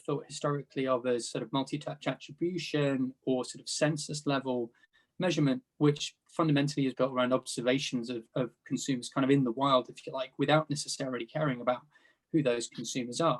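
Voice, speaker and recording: A man with a British accent talks very fast at a fairly high pitch, with fairly even intonation. His loudness swings widely, and the sound is dry and close with no echo. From UK. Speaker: panelist, data product executive. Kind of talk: panel discussion.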